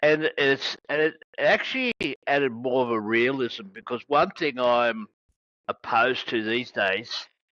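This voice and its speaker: A man with an Australian accent speaks at medium pitch in a bright, sharp tone, the sound dry and close with no echo against a quiet background. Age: 60s. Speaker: wrestling podcast host. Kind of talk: interview. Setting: video call.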